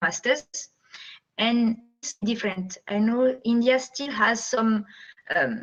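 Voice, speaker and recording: A woman with a French accent talks at a very slow pace, her pitch fairly high and her intonation fairly even. She leaves long, frequent pauses. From France. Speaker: guest speaker, French teacher. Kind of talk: talk to students via video call. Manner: hesitant, many fillers.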